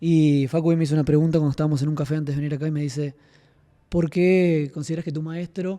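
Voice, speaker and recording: A soft-spoken man's fairly high, monotone, flat voice at a very fast pace. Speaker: podcast host and martial arts student. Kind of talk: casual podcast chat.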